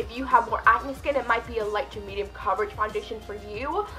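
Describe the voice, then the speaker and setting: A woman speaks with an American accent over music in the background. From New York City. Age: 20s. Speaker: beauty YouTuber. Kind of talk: casual talk to camera.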